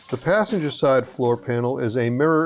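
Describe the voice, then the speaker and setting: At a fairly quick pace, a man of medium pitch speaks with ordinary pitch variation amid noticeable background noise. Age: 60s. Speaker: DIY car builder and video host. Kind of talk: workshop narration and tutorial. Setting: home garage. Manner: casual, with some hesitations.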